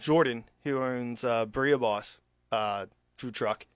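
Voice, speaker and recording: This man talks at a moderate pace with a slight Philadelphia accent, a medium pitch, and ordinary pitch variation. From Philadelphia area, US. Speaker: restaurant owner, military veteran. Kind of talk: radio interview.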